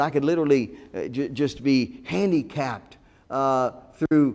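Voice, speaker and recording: A man's normal speaking voice with an American accent, fairly high pitch, ordinary pitch variation and a moderate pace. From Ohio, US Midwest. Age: 60s. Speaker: pastor. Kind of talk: sermon.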